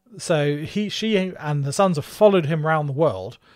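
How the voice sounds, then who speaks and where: A man with a southeast English accent, fairly high pitch, and lively intonation. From southeast England, Margate, Kent. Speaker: podcast co-host. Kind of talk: storytelling.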